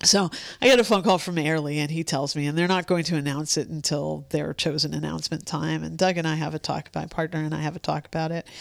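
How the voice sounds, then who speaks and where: A woman's very deep, low pitch with vocal fry, fairly even intonation and a very fast pace, in a very clean recording with a silent background. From San Francisco. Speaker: poet. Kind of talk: interview.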